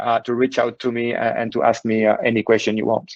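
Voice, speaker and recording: Moving at a fairly quick pace, a man talks with a French accent. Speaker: cybersecurity executive. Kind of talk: webinar presentation. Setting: online webinar, working remotely. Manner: halting, many fillers.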